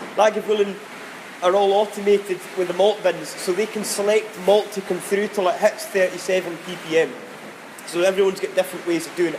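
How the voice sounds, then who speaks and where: A man's high voice with a Scottish accent, fairly quick and fairly even in intonation, over noticeable background noise. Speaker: distillery warehouse guide. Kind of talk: whisky tasting talk.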